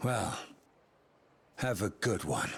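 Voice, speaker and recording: Putting on a raspy character voice, a man speaks at a medium pitch. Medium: video game. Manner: sardonic, playful.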